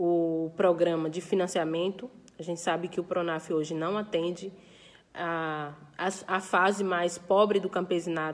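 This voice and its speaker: At a fairly slow pace, a woman speaks in a fairly low pitch with fairly even intonation. It is a normal speaking voice. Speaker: farmers' movement leader. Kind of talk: recorded interview statement.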